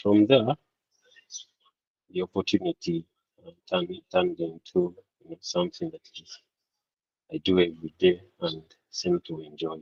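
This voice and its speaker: Soft-spoken, a man talks at a moderate pace with long, frequent pauses in a dry, close sound with no echo. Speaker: part-time farmer and accountant. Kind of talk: panel discussion. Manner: halting. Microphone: too quiet.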